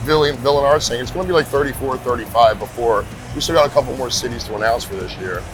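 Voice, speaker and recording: A man at a very fast pace with big swings in loudness, music in the background. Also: medium pitch for a man, ordinary pitch variation. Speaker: tattoo convention MC and radio DJ. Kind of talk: interview answer, casual storytelling. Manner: friendly, conversational.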